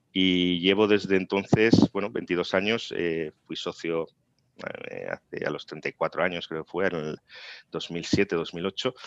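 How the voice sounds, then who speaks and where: Very slowly, a man speaks in a very deep, low pitch with fairly even intonation, the sound dry and close with no echo and the background quiet. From Spain, Tarragona (Catalonia). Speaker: corporate lawyer. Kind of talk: interview.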